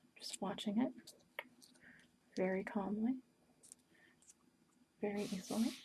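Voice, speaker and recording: Vocal fry runs through a woman's dark, mellow tone at medium pitch. She speaks at a fairly slow pace with fairly even intonation. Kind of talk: ASMR paper-folding ramble to camera.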